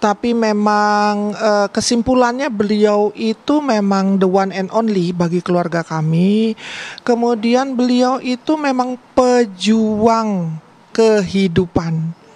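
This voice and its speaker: Very slowly and at a fairly high pitch, a woman speaks with ordinary pitch variation over noticeable background noise. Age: 60s. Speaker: family member of the deceased. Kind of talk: TV interview. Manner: halting.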